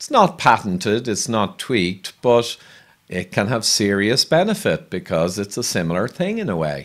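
A man with an Irish accent speaks at a moderate pace and medium pitch, his voice swinging very widely in pitch against a quiet background. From Ireland. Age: 50s. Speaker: health podcast host. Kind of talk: interview. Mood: friendly, engaged. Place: home room. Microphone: studio mic.

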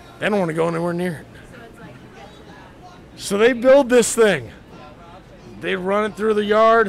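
The speaker talks at a moderate pace while crowd noise carries in the background. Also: man. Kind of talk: drunken movie plot retelling to camera. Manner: excited, rambling.

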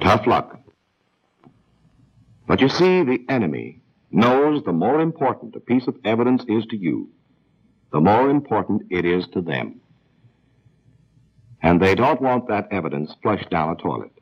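A man speaks at a moderate pace with vocal fry, very wide pitch swings, and long, frequent pauses. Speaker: film narrator. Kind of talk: dramatic second-person narration. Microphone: old recording.

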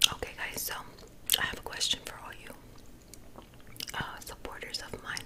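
The voice is a woman's. She speaks in a whisper. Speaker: ASMR creator and makeup tutorial host; ASMR creator, makeup tutorial host. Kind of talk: ASMR makeup tutorial talking to camera. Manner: soft, whispery, slow. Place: home room.

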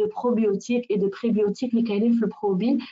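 A woman speaks very fast at a fairly high pitch. Her intonation stays monotone and flat. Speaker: nutritionist and wellness consultant. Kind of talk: webinar presentation.

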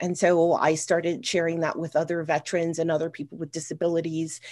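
With an American accent, a woman speaks at a very fast pace with hardly any pauses and a fairly low pitch against a quiet background. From US Northeast, New York City. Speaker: army veteran and paddle sports media producer; guest. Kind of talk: panel discussion. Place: home room. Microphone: webcam.

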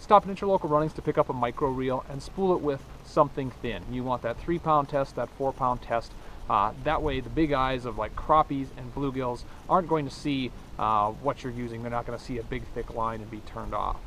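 A man at a fairly quick pace, ordinary pitch variation, big swings in loudness, a dry sound with no echo and light background noise. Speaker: outdoor show host. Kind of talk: tutorial. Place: waterside.

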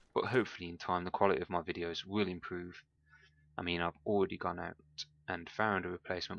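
A man in a Birmingham accent with a very deep, low pitch, monotone, flat intonation and a very fast pace, dry with no echo. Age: 20s. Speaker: gaming youtuber. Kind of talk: gameplay commentary. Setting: home recording with microphone.

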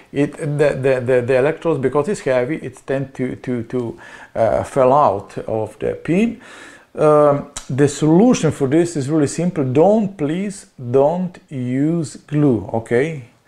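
The speaker has a Slovenian accent and a dark, mellow tone. The pace is fairly slow, pitch variation is ordinary, and the background is quiet. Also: man, fairly high pitch for a man. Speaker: small electronics seller. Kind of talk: product demonstration. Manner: halting. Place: office.

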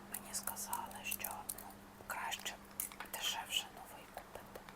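A woman whispers in a gentle tone at a fairly slow pace. Noticeable background noise sits behind her. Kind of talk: ASMR unboxing, casual talk to camera. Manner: slow, gentle, repetitive.

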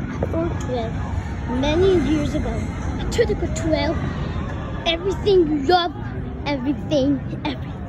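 Against crowd noise in the background, a woman speaks at a fairly slow pace, with a dry sound that has no echo. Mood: playful, excited. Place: street. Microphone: phone near.

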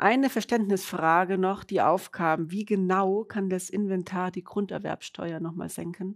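A woman with a plain, everyday voice speaks at medium pitch and a fairly slow pace, her intonation fairly even over a quiet background. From Munich, Bavaria; Bavaria. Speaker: webinar moderator. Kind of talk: webinar moderation. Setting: studio, standing with colleagues. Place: studio. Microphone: lapel.

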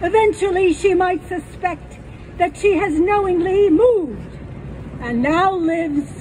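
Light noise sits in the background. A woman talks over it. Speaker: poet. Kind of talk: poem reading, reflective. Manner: slow, measured, wistful. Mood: wry, humorous. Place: stage.

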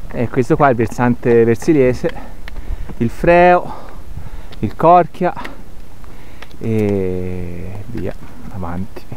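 A man's very slow speech with long, frequent pauses and very wide pitch swings, dry with no echo, over light background noise. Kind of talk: casual vlog chat. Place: open country. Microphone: phone near.

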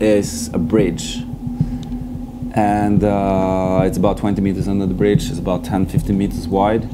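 A man speaks at a fairly slow pace while loud background noise goes on. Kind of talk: interview answer. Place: open country.

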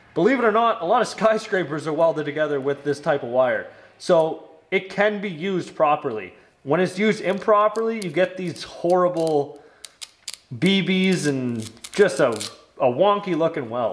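A man's pitch sits high as he talks at a moderate pace. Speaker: welder demonstrating equipment. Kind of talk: tutorial. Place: workshop.

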